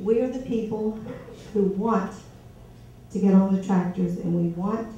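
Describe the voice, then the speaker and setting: With an American accent, a woman at a medium pitch speaks at a fairly slow pace with fairly even intonation, and audible room echo can be heard. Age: 60s. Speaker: voter at a candidate forum. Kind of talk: public question at a town meeting. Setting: community meet and greet with audience.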